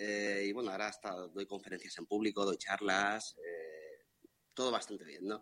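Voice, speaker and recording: A man talks at a moderate pace in a fairly low pitch. His pitch varies in an ordinary way. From Madrid, Spain. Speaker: listener. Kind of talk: casual chat. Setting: video call.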